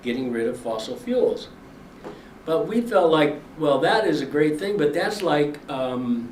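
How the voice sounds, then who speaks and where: A man at a fairly slow pace with ordinary pitch variation, amid noticeable background noise and audible room echo. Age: 80s+. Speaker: farmer and activist. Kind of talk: speech. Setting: briefing before lawmakers.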